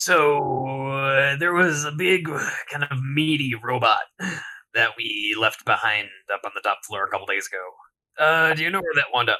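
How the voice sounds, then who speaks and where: Putting on a character voice, a man with a fairly high pitch speaks at a moderate pace with long, frequent pauses. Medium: actual play.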